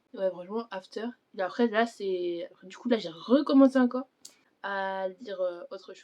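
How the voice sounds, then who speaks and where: A woman is speaking. Her intonation is lively. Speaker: book vlogger. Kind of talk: casual chat. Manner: fast; halting.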